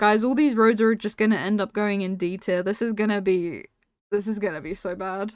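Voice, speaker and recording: A woman with a non-native accent talks at a fairly quick pace with medium pitch and fairly even intonation, in a very clean recording with a silent background. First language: not English. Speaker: video game streamer. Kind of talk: live stream commentary. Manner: casual, chatty.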